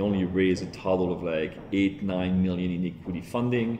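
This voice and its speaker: A man with a French accent talks in a very deep, low voice with fairly even intonation over light background noise. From France. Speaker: tech entrepreneur. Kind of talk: interview answer. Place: office. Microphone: lapel.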